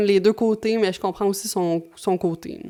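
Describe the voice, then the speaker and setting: Her pitch is medium, and this woman keeps a moderate pace. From Quebec. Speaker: YouTuber. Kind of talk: commentary video. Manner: casual, with many fillers.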